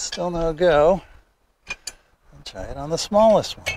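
A man speaks slowly with a fairly high pitch. His tone is slightly mellow and his intonation lively.

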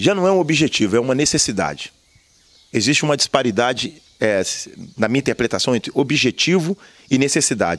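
A man speaks at a fairly quick pace with lively intonation, though he takes long, frequent pauses. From Brazil, Juiz de Fora (Minas Gerais); Minas Gerais, Brazil. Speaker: activist and former city council candidate; council candidate. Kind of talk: interview. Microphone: handheld.

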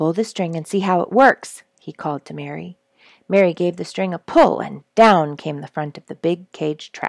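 A woman at a fairly slow pace, in a dry sound with no echo and a quiet background. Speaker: storyteller reading a children's book. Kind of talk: read-aloud storytelling. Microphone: headset.

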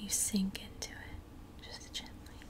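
A woman whispers at a very slow pace. Her tone is calm. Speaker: ASMR creator. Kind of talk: guided meditation. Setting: home recording, low-fi. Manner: slow, calm. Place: home room. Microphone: earbuds.

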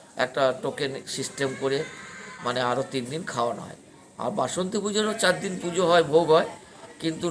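There is noticeable background noise as a man speaks in a fairly high pitch. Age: 60s. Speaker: temple priest. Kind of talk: interview, storytelling. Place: open country. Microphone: phone near.

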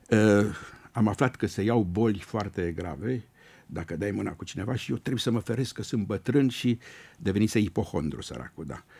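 A man's fairly low, dark and mellow voice with vocal fry and lively intonation at a moderate pace. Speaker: retired radio presenter and lyricist. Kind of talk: radio interview. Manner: tender, warm. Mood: warm, nostalgic, joking. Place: studio. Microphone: studio mic.

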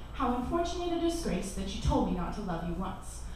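A woman is heard with strong room echo and noticeable background noise. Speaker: spoken word poet. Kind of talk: poetry performance, spoken word with casual banter between pieces. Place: cafe. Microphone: camera far.

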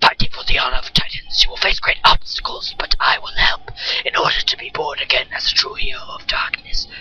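Over faint background music, a man does a raspy, put-on character voice at an extremely high pitch and a fairly quick pace. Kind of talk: mock-solemn read-aloud of game dialogue. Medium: game stream. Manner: grandiose, commanding.

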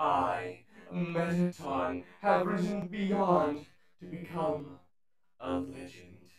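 A man puts on a character voice with a fairly high pitch and very wide pitch swings. He talks at a very slow pace with a slight echo. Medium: dub. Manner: grandiose, menacing.

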